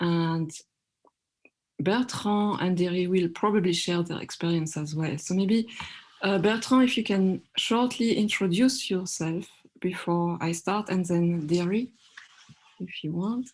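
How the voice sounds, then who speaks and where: With a French accent, a woman of medium pitch speaks at a fairly slow pace, with ordinary pitch variation and long, frequent pauses. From France. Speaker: workshop moderator. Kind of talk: online panel discussion.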